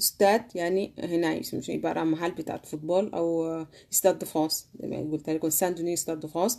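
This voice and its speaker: A woman with a Sudanese accent, fairly low pitch, dark and mellow tone, and a moderate pace. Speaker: language teacher. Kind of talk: language lesson. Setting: live stream. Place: home room. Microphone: phone near.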